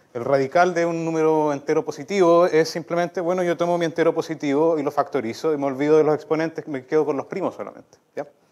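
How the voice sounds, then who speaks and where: Against a quiet background, a fairly high-pitched man speaks at a very fast pace with fairly even intonation. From southern Chile, La Unión (Los Ríos); Los Ríos, Chile. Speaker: mathematician; speaker. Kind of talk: lecture. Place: hall.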